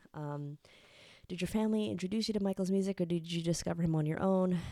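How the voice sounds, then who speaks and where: A woman with an American accent speaks at a fairly low pitch with a dark, mellow tone. Her pace is fairly quick, and her pitch varies in an ordinary way. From New York City, Queens. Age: 30s. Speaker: YouTuber, music fan historian. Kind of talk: casual Q&A monologue. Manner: chatty, casual with many fillers.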